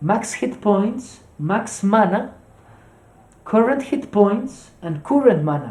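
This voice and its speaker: A fairly slow delivery in a Colombian accent. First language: Spanish. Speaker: streamer teaching SQL. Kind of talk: tutorial. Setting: live stream. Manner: halting, many fillers.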